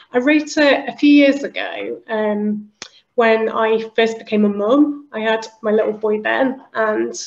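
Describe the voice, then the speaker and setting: A woman's fairly high voice in a British accent, with ordinary pitch variation. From northern England, Liverpool. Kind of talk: interview conversation.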